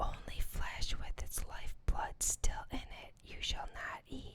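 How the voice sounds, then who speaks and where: Whispering in a calm tone. The pace is very slow. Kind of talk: ASMR scripture reading. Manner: whispered; soft-spoken, calm.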